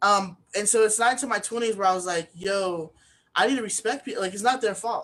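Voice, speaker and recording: A woman mumbles at a fairly quick pace, medium in pitch with ordinary pitch variation. The background is quiet. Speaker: author and speaking coach. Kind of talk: interview. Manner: occasional mumbling; many filler ums.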